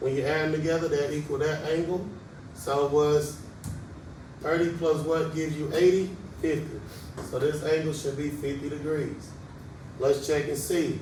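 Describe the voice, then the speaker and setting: Monotone, flat intonation from a man with fairly high pitch, at a moderate pace with long, frequent pauses, plus noticeable background noise and audible room echo. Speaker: math teacher. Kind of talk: tutorial. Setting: classroom. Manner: casual.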